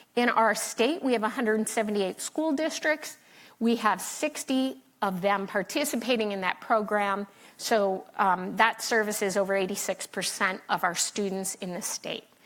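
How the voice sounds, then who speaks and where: On a very clean recording with a silent background, a woman with an ordinary speaking voice talks at a moderate pace, fairly high in pitch with ordinary pitch variation. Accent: American. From Philadelphia, US. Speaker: state education official, panelist. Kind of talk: conference panel talk.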